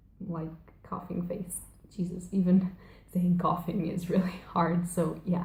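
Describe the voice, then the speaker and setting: Flat, monotone delivery at a fairly slow pace, somewhat breathy, with audible room echo. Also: woman, fairly low pitch for a woman. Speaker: book vlogger. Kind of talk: casual vlog. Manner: chatty, rambling with fillers.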